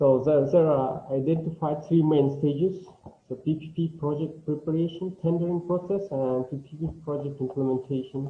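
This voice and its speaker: Over noticeable background noise, a man with a fairly high pitch talks at a moderate pace with fairly even intonation. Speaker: government official. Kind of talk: conference presentation.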